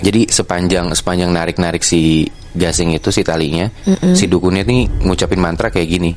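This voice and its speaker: A man's very deep, low voice at a fairly quick pace, with very even loudness, fairly even intonation and noticeable background noise. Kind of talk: casual horror storytelling in Jakarta slang. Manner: conversational, explaining to a friend.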